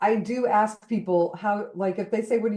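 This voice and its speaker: An unremarkable speaking voice with an American accent, at a moderate pace. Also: woman. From Colorado. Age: 60s. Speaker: spiritual artist and author. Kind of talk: podcast interview.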